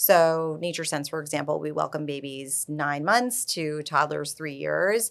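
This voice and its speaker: With an American accent, a woman talks at a fairly slow pace in a very deep, low voice, with ordinary pitch variation and hardly any pauses, on a very clean recording with a silent background. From New York. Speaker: early childhood program founder. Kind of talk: casual interview.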